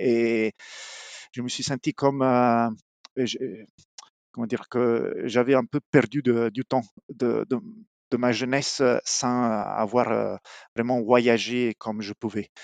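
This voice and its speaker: With an Italian accent, a man at a medium pitch speaks very slowly in a flat monotone, leaving long, frequent pauses, in a dry, close sound with no echo and a quiet background. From southern Italy, Apulia. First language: Italian (speaking French). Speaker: mechanical engineer. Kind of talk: interview. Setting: remote call. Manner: halting.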